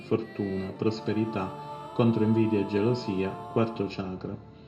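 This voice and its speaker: Over music in the background, a man speaks at a fairly slow pace. His voice is fairly low, with ordinary pitch variation. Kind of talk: esoteric instructional narration.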